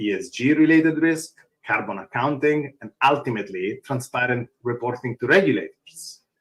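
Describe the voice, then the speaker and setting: A man speaks at a moderate pace in a strong Italian accent. His intonation is lively. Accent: thick Italian. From Italy. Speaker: open source foundation executive. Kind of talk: conference panel talk.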